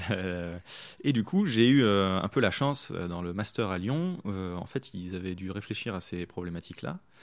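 The recording is very clean, with a silent background. A man speaks in a very deep, low voice with ordinary pitch variation, fairly slowly and with hardly any pauses. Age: 20s. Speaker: video game user researcher. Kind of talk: interview.

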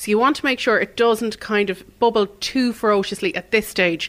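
A woman with an Irish accent and ordinary pitch variation, on a very clean recording with a silent background. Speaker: cookery teacher. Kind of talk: cooking demonstration. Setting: studio.

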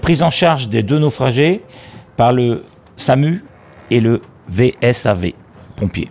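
A man talks at a very slow pace, with long, frequent pauses. His pitch is medium, his intonation lively, and his loudness very even. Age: 60s. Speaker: retired fisherman and volunteer sea rescue skipper. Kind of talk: testimony.

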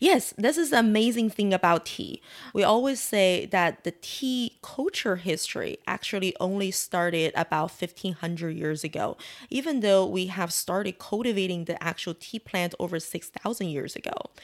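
A woman speaks with a Chinese accent. The recording is very clean, with a silent background. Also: medium pitch for a woman, lively intonation, moderate pace. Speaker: tea house owner. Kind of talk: interview.

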